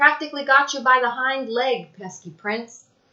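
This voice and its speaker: At a moderate pace, a woman does a wheezy, put-on character voice pitched high. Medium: read story.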